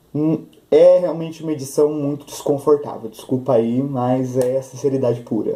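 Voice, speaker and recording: A man speaks with a fairly high pitch and fairly even intonation. Noticeable background noise runs underneath. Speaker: book youtuber. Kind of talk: casual book review vlog. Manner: fast.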